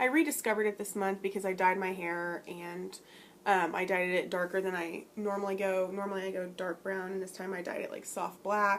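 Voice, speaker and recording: A woman's medium-pitched voice, fairly quick pace, fairly even intonation. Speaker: beauty vlogger. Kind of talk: product review vlog. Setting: home room with open blinds. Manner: fast; casual, with many fillers.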